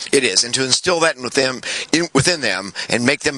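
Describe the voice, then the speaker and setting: Noticeable background noise is in this clip. Through it, a man talks. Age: 60s. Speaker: retired Marine officer. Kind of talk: interview. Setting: outdoors. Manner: halting.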